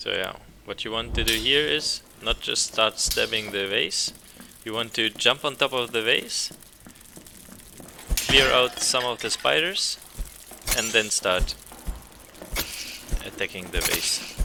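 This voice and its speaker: A man speaks at a fairly slow pace, with long, frequent pauses and noticeable background noise. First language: not English. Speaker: gaming streamer. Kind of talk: gameplay commentary. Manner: hesitant, many fillers.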